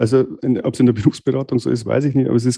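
A man with a Bavarian accent and a dark, mellow tone, in a dry, close sound with no echo. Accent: Bavarian dialect, noticeable. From Bavarian Forest, Bavaria, Germany. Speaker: master dental technician, lab owner. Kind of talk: casual interview. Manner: hesitant, many fillers.

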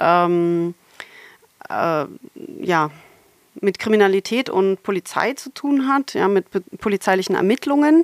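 At a very slow pace, a woman with a medium pitch speaks with lively intonation, the sound dry and close with no echo. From Germany, Berlin. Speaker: computational linguistics professor. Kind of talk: interview. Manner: hesitant with many fillers.

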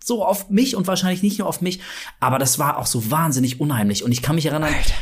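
A man sounds animated, his intonation lively. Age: 40s. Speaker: horror podcast co-host. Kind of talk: casual chat.

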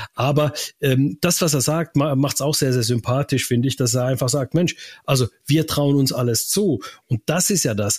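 Fairly high-pitched for a man, this somewhat breathy voice moves at a moderate pace with ordinary pitch variation and very even loudness. The recording is very clean, with a silent background. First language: Finnish (speaking German). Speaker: radio sports reporter. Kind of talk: casual chat.

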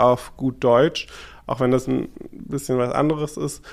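On a very clean recording with a silent background, a man talks with ordinary variation in pitch. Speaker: drag artist and podcast co-host. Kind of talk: casual chat. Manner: casual street-style speech.

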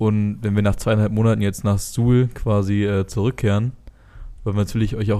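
Words come at a fairly quick pace. The tone is dark and mellow. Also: man. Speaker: American football player and podcast host. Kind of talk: casual chat. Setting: office.

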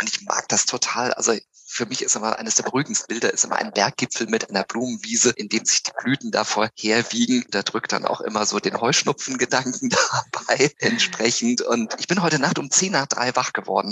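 Hardly pausing at all, a man talks at a fairly quick pace. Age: 50s. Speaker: psychological counselor and coach. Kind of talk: casual chat.

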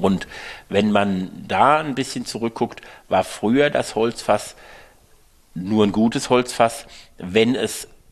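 A man talks at a very slow pace, at a medium pitch, with long, frequent pauses. The background is quiet. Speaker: winemaker. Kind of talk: interview conversation.

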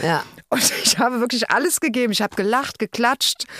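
A woman in a normal speaking voice, fairly high-pitched with lively intonation, at a moderate pace in a dry, close sound with no echo. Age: 50s. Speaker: podcast co-host. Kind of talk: casual chat.

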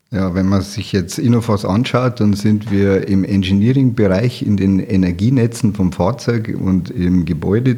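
With a dark, mellow tone and a fairly low pitch, a man speaks at a fairly slow pace with ordinary pitch variation. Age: 50s. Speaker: automotive and energy storage engineer. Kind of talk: interview.

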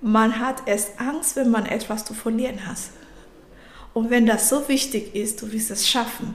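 A woman with a non-native accent speaks fairly slowly at a fairly high pitch. Noticeable background noise and audible room echo run through the clip. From Nigeria. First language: not German (speaking German). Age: 30s. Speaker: coach and IT specialist. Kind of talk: interview.

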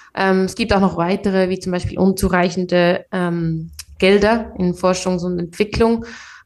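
A woman with a plain, everyday voice, medium pitch, moderate pace and fairly even intonation, against a quiet background. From Switzerland, Biel. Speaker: tech account manager and founder. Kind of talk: interview.

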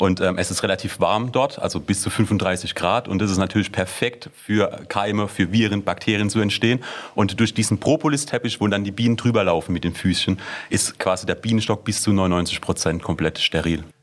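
A man speaks at a moderate pace in a fairly low pitch, with ordinary pitch variation. It is a plain, everyday voice. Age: 20s. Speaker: startup founder. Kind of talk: interview.

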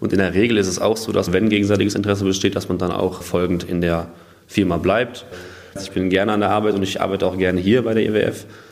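A man with a fairly low pitch talks very fast in a flat monotone, with audible room echo. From Germany, northern Hesse (Waldeck-Frankenberg). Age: 20s. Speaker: industrial clerk apprentice. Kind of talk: interview.

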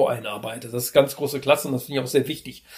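Here is a man with a plain, everyday voice. His pitch is fairly high and his intonation fairly even. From Trier area, Rhineland-Palatinate. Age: 50s. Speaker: trade association executive. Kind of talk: interview.

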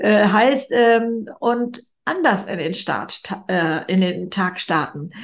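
A woman speaks at a fairly high pitch with lively intonation. Her voice is somewhat breathy. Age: 70s. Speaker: speaker and author. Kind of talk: interview.

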